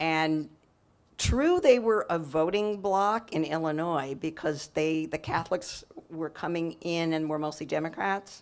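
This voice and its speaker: On a very clean recording with a silent background, a woman with a very deep, low pitch speaks at a fairly slow pace with ordinary pitch variation. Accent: American. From California. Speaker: novelist. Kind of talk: author talk Q&A. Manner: halting, many fillers.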